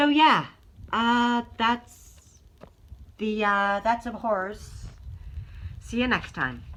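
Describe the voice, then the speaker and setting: Bright and sharp in tone, a woman's fairly high voice shows ordinary pitch variation. She speaks at a very slow pace with long, frequent pauses. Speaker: worldbuilding video creator. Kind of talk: casual explainer monologue. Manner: hesitant, many fillers.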